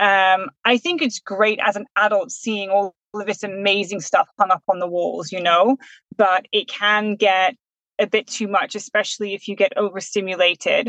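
At a medium pitch and moderate pace, a woman speaks with a bright, sharp tone and fairly even intonation in a dry, close sound with no echo. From UK, raised in the Netherlands. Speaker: special educational needs teacher. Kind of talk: casual interview.

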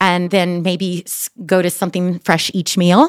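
In a dry, close recording with no echo, a woman with an American accent uses an ordinary speaking voice, medium in pitch, at a fairly slow pace. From New York. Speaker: holistic health coach. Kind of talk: interview.

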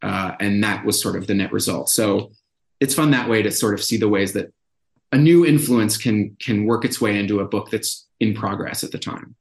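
With an American accent, a man with a normal speaking voice talks at a fairly low pitch and moderate pace, with ordinary pitch variation. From Brookline, Massachusetts, US. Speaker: novelist. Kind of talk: interview about his book.

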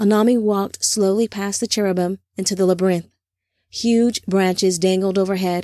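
Against a quiet background, an unforced reading voice holds fairly even intonation.

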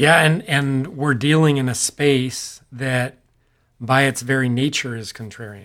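At a fairly slow pace, a man talks with a Californian accent. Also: medium pitch for a man, ordinary pitch variation. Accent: General American (California). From Central Valley, California (Modesto). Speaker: real estate investor, podcast co-host. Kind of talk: casual business discussion.

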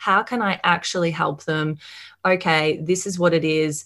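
A woman speaks with an Australian accent in a bright, sharp tone. The recording is very clean, with a silent background. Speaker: marketing mentor and agency owner. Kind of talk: podcast interview.

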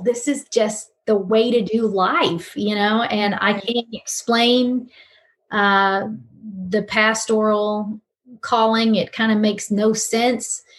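A woman talks very slowly at a fairly high pitch. Her voice is somewhat breathy. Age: 50s. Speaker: pastor and talk show host. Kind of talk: casual chat.

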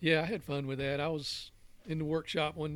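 A man with a Southern US accent, fairly high in pitch, with fairly even intonation and a fairly quick pace. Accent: Southern US (Georgia). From Georgia, US South (Newnan, south of Atlanta). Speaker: fly fisherman and wooden drift boat builder. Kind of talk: casual chat, storytelling. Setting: studio.

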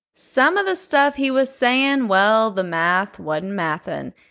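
A woman at a fairly high pitch and fairly slow pace, with very wide pitch swings and a bright, sharp tone, on a very clean recording with a silent background. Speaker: true crime podcast host. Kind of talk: casual true crime monologue. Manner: casual, expressive.

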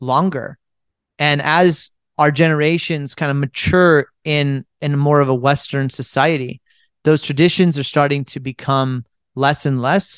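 A man with an unremarkable speaking voice and an American accent talks at a fairly high pitch and fairly slow pace, the sound dry and close with no echo over a quiet background. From United States. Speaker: podcast host and entrepreneur. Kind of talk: solo podcast Q&A.

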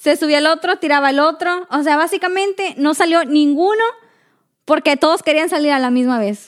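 At a moderate pace, a woman speaks in an animated tone with a high pitch and ordinary pitch variation. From Mexico, Matamoros, Tamaulipas. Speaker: podcast co-host. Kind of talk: casual chat.

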